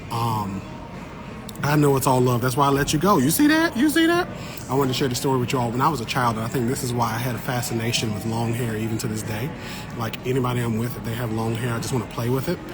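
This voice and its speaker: A man at a medium pitch speaking at a very fast pace, with noticeable background noise and audible room echo. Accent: American. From Eastern North Carolina. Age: 30s. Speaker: botanist and science content creator. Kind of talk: casual livestream chat. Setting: livestream at a garden show. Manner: animated.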